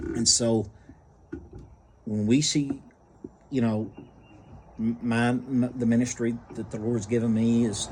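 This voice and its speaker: A man speaks at a fairly slow pace in a medium pitch with monotone, flat intonation. Noticeable background noise runs behind him. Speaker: book reviewer and nursing home ministry volunteer. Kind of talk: casual book review monologue. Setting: outdoors on front porch. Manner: halting, many fillers.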